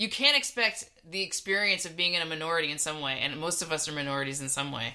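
Speaking with a Californian accent, this woman has a very deep, low voice and ordinary pitch variation. She goes very fast, with hardly any pauses. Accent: Californian American. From US West Coast, Bay Area. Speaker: podcast co-host. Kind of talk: casual chat.

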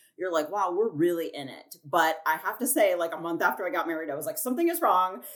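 Speaking very fast with hardly any pauses, a woman with a fairly low pitch shows ordinary pitch variation and big swings in loudness over noticeable background noise. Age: 30s. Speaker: artist and designer. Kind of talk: casual chat.

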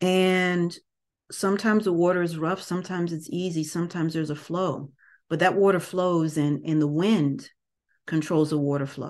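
With a quiet background, a woman speaks in an ordinary speaking voice at a moderate pace, her pitch fairly low and her intonation fairly even. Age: 50s. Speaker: podcast host and wellness/yoga teacher. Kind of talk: casual monologue.

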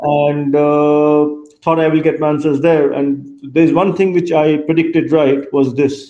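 At a fairly slow pace, a man with a fairly high pitch speaks in a monotone, flat intonation amid audible room echo. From India, Kolkata. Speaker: tech startup CEO. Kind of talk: interview.

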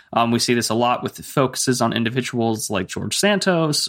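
This man speaks at a moderate pace in a normal speaking voice, with ordinary pitch variation. The recording is very clean and the background silent. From US, army family (moved around). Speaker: political commentator. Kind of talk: interview.

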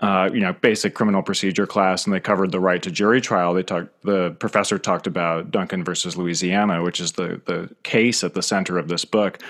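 A man with an American accent and a very deep, low pitch, speaking at a very fast pace in a monotone, flat delivery, on a very clean recording with a silent background. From rural northeastern US. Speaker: author. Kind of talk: interview. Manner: halting, many fillers and repeats.

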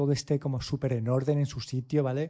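The background is quiet as a man talks at a fairly quick pace. His voice is fairly high, somewhat breathy and dark and mellow in tone. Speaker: tech podcast co-host. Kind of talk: casual chat.

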